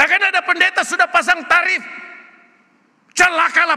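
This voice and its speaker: Against a quiet background, a man uses a raised, projected voice. He talks at a very fast pace in an animated tone. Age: 70s. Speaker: retired pastor. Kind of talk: sermon. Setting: church. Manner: loud. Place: church.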